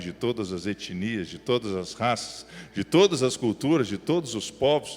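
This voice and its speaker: A man with a mineiro accent speaks at a moderate pace, his medium-pitched voice carrying lively intonation. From Minas Gerais, Brazil (Belo Horizonte). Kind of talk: sermon. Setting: church with live audience.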